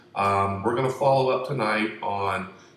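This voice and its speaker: Audible room echo around a man's voice with ordinary pitch variation. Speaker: conspiracy video host. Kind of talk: casual monologue. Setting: room at home. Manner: soft-spoken.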